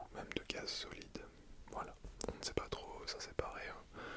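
Whispering and soft-spoken, a man is heard through loud background noise. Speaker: vlogger. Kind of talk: casual explanatory vlog chat. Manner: soft close ASMR whisper. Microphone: phone near.

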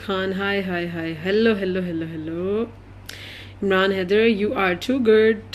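In a Pakistani accent, a woman speaks in an animated tone amid audible room echo. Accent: Urdu-speaking Pakistani. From Pakistan, Lahore. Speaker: stage actress and dancer. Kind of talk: Facebook live chat reading viewer comments. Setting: live video stream. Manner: chatty, animated.

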